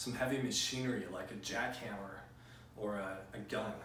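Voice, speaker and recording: Amid noticeable background noise and audible room echo, a man with a medium pitch talks at a moderate pace with ordinary pitch variation. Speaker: physics teacher. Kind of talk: lecture. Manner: louder than normal conversation; frequent fillers.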